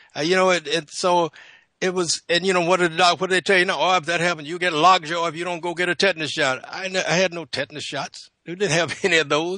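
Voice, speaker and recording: A man talks very fast in a high, bright, sharp voice with fairly even intonation. The sound is dry and close with no echo, over a quiet background. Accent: American. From US South, South Carolina. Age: 70s. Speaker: naturopath. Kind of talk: radio panel discussion. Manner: halting, many repetitions.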